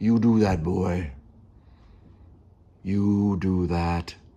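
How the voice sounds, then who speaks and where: A man uses a put-on character voice with a very deep, low pitch. His intonation stays fairly even. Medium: solo performance. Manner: gruff, clipped.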